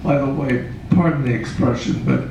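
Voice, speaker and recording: A man talks in an American accent, with noticeable background noise and audible room echo in the recording. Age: 90s. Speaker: puppeteer. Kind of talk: interview. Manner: halting.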